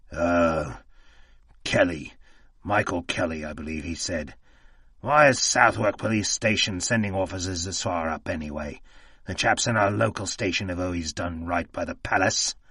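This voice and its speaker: Putting on a character voice, a man speaks in a raspy, very deep, low register at a moderate pace. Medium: read story. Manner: agitated, desperate.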